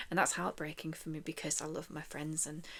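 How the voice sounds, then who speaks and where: A woman speaks softly. Her pitch is very deep and low. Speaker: chronic illness vlogger. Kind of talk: casual talk to camera. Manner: soft-spoken.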